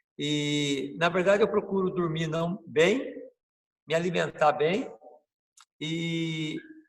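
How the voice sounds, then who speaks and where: This man's voice is high in pitch. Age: 60s. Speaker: capoeira master. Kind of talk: interview. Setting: video call.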